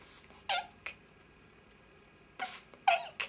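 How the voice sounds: A squeaky, put-on character voice at an extremely high pitch, over light background noise.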